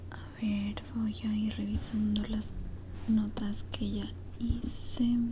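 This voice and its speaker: Very slow, soft-spoken speech plays against noticeable background noise. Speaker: ASMR creator. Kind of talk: casual talk to self while working.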